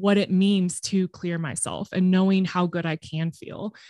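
In a Californian accent, a woman speaks at a moderate pace with medium pitch and fairly even intonation, in a very clean recording with a silent background and a dry, close sound with no echo. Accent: Californian American English. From Southern California. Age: 30s. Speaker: podcast producer. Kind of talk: casual interview chat.

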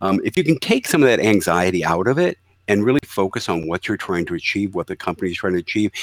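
An unremarkable speaking voice from a man, fairly low in pitch with lively intonation, dry and close with no echo on a very clean recording with a silent background. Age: 60s. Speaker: trade show exhibit marketing executive. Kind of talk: casual interview.

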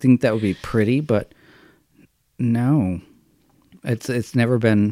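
Pitched mid-range, the male voice carries an American accent and ordinary pitch variation. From Massachusetts (Stoneham, near Boston). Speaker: actor and comedic performer. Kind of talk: casual chat.

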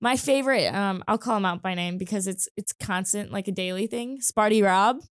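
Heard with a dry, close sound and no echo, a woman speaks fairly quickly at a medium pitch with ordinary pitch variation in a plain, everyday voice. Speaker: sports broadcaster. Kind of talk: casual chat. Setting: studio.

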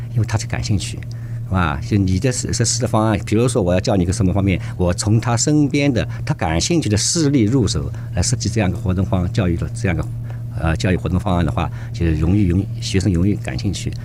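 A man talks at a very fast pace in a fairly low voice. Noticeable background noise runs under the recording. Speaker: youth activity center representative. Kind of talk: radio interview. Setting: studio. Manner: halting.

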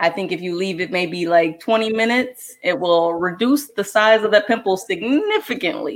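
A woman with an unremarkable speaking voice talks at a moderate pace and medium pitch, her intonation lively and hardly any pauses between words. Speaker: show writer giving health tips. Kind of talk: casual chat, tips segment.

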